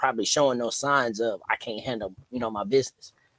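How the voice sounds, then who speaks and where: A man with an American accent, medium pitch and an ordinary speaking voice, in a dry, close sound with no echo. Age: 40s. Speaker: DJ. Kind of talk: podcast interview.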